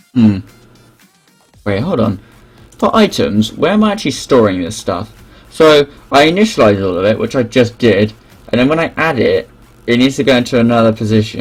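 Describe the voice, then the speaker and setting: Mumbled speech at a moderate pace with long, frequent pauses. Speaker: game developer streaming live coding. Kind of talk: live coding stream, thinking aloud. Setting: live stream. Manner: mumbling; halting, self-interrupting.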